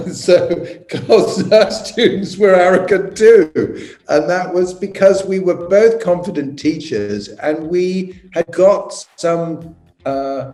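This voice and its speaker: A man with an English accent speaks at a high pitch. His pace is very slow, with ordinary pitch variation. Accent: English (RP-leaning). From England. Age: 70s. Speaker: architect and designer. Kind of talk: interview answers.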